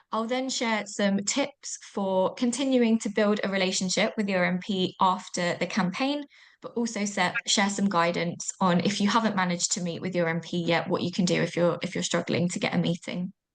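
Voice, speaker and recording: A woman with a British accent and medium pitch, with hardly any pauses, against a quiet background. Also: ordinary pitch variation. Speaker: online event host. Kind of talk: webinar housekeeping and agenda. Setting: video call. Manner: fast.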